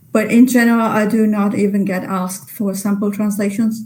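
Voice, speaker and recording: A woman talks at a medium pitch with monotone, flat intonation. Noticeable background noise sits behind her. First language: Italian. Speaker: literary translator. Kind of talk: webinar Q&A. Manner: halting.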